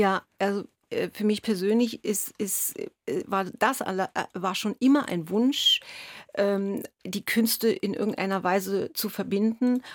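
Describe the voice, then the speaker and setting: A woman speaks at medium pitch with fairly even intonation, in a dry, close sound with no echo on a very clean recording with a silent background. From East Berlin, Germany. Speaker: violinist. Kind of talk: radio interview. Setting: radio studio. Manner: halting, many fillers.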